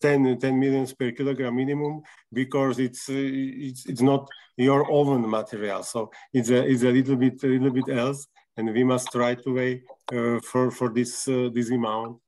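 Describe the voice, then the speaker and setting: A man with a Slovak accent, medium pitch, moderate pace and monotone, flat intonation. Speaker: clinic representative. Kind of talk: video call presentation. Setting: video call. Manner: halting.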